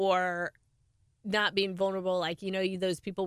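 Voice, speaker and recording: A woman's unremarkable speaking voice, medium in pitch with ordinary pitch variation, in a dry, close recording with no echo. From US (California, then Oklahoma). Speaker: podcast co-host, author. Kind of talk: casual chat.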